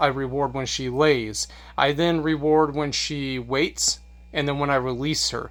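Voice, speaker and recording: This man's fairly high voice stays monotone and flat throughout a very clean recording with a silent background. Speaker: dog trainer. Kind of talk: tutorial.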